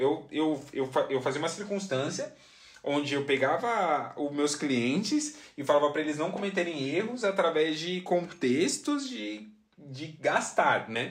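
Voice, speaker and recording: Speaking at a fairly slow pace, a man uses a fairly high pitch with lively intonation and an animated tone. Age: 20s. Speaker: podcast host. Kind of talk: casual monologue.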